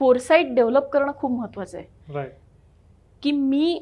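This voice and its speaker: Lively intonation runs through a woman's speech. Her voice sits high in pitch. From Maharashtra, India (Vidarbha, Warora area); Maharashtra. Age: 30s. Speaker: doctor and social worker; interviewee. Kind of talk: interview. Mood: reflective, earnest. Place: studio. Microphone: lapel.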